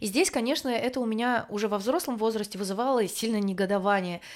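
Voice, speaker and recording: A woman's fairly high voice, a plain, everyday voice, with ordinary pitch variation, on a very clean recording with a silent background. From small eastern ethnic group. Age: 30s. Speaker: podcast co-host, migrant. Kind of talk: casual chat.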